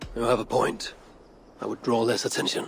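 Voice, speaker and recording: Using a put-on character voice, a man speaks with a confident tone at medium pitch. The voice is raspy and moves at a fairly quick pace. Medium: video game. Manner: confident, archaic formal speech.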